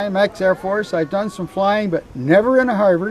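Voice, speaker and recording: A moderate pace over noticeable background noise. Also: man. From southwestern Ontario, Canada. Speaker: air force veteran, flight passenger. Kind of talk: interview testimony.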